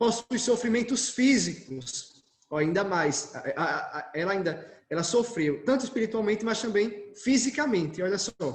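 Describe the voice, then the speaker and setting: His delivery is fairly slow, with lively intonation. The man's voice carries audible room echo. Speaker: Carmelite friar giving a talk. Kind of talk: lecture.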